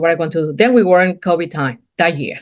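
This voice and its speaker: A woman with a fairly low pitch talks at a moderate pace. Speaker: entrepreneur, painting company co-owner. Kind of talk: interview answer.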